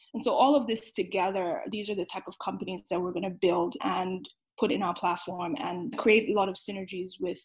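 This woman's voice is somewhat breathy and medium in pitch. She talks at a fairly quick pace with lively intonation. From Nigeria. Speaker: venture capital investor. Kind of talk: interview.

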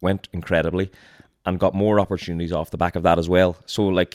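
Very fast and flat, a man with a Donegal accent speaks at a very deep, low pitch, the sound dry and close with no echo on a very clean recording with a silent background. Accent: Donegal Irish. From Donegal, Ireland. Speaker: content creator and reality show contestant. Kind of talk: casual chat.

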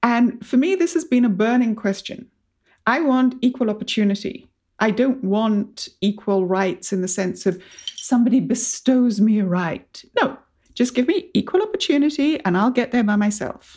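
A woman with a plain, everyday voice speaks at a moderate pace with a fairly high pitch. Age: 50s. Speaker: podcast host. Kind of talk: interview.

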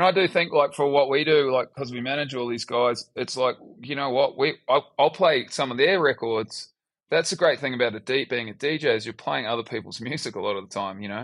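With a New Zealand accent, a man speaks at a fairly quick pace. His medium-pitched voice sits over a quiet background. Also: ordinary pitch variation. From New Zealand, Upper Hutt. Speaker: DJ and music producer. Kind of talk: casual interview.

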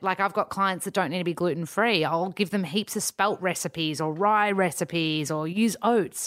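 A woman talks with an Australian accent and a fairly low pitch. Her pitch variation is ordinary, on a very clean recording with a silent background. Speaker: nutritionist. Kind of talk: casual chat.

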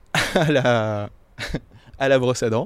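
A man's voice with fairly even intonation. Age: 30s. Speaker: intensive care nurse. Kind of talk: interview.

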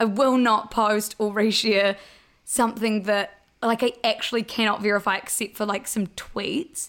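A woman speaks with a New Zealand accent at a fairly high pitch. Her intonation stays fairly even at a moderate pace. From New Zealand, Blenheim. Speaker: social media news page co-founder. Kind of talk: casual interview chat.

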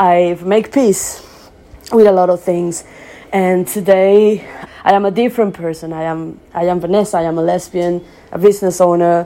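A woman's fairly low voice at a moderate pace. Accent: Spanish. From Venezuela. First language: Spanish. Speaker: business owner. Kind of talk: personal testimony.

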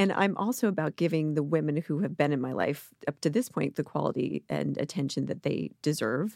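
With an American accent and vocal fry, a woman speaks at a fairly quick pace in a very deep, low pitch with lively intonation and hardly any pauses, recorded dry and close with no echo. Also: very clean recording, silent background. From US Mid-Atlantic, rural suburban Maryland. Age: 40s. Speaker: entrepreneur, parenting website founder. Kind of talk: casual interview chat.

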